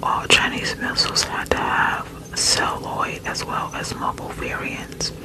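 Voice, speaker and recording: Against noticeable background noise, a woman whispers at a fairly slow pace. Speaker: ASMR creator. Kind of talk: sleep story reading. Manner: whispered.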